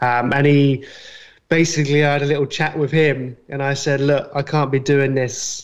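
Delivered at a moderate pace, the speech comes in a British accent with monotone, flat intonation. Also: man, fairly high pitch for a man. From UK. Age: 30s. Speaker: graphic designer. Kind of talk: casual chat.

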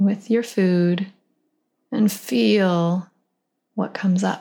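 The voice moves at a very slow pace with fairly even intonation and a calm, soothing tone. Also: woman. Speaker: nutritionist podcast host. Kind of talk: guided meditation. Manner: slow, calm, soothing.

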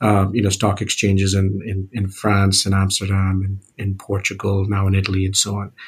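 Speaking at a moderate pace, a man with a fairly low pitch sounds somewhat breathy on a very clean recording with a silent background. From Singapore. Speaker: fintech founder and CEO. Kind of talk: interview.

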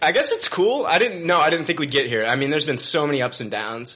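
Noticeable background noise surrounds the man's fairly high-pitched voice. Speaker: podcast host. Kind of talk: casual chat. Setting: studio.

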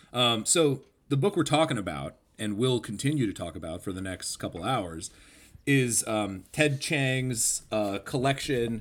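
On a very clean recording with a silent background, a man speaks in a normal speaking voice at a medium pitch and moderate pace, with lively intonation. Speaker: podcast co-host. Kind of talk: casual chat.

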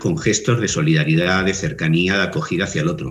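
The speech has a Castilian accent and a fairly quick pace. Room echo is audible. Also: man. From Spain. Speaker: philosophy teacher and writer. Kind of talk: interview. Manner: halting.

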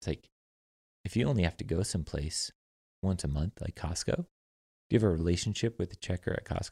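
A very deep, low-pitched man with an American accent, somewhat breathy and dark, mellow in tone, talking very fast with ordinary pitch variation and long, frequent pauses, in a dry, close sound with no echo. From California. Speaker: startup founder. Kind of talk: casual chat. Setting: in person, drinking whiskey together.

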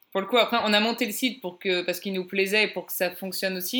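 A woman speaks at a very fast pace in a bright, sharp tone. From Paris, France. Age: 30s. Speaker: traveler. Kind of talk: interview.

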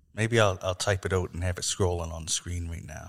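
His voice is very deep and low, somewhat breathy and monotone, with flat intonation at a moderate pace. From Canada. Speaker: podcast host. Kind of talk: casual chat.

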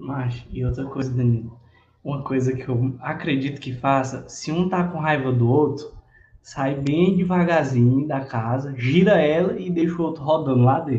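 A man with a fairly high pitch and a dark, mellow tone. His voice is somewhat breathy. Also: ordinary pitch variation, moderate pace. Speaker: podcast co-host. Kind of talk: casual chat. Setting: live stream.

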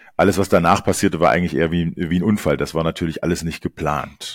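Very deep and low, this man's voice moves at a very fast pace with monotone, flat intonation. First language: German. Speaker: podcast host. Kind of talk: interview with live translation.

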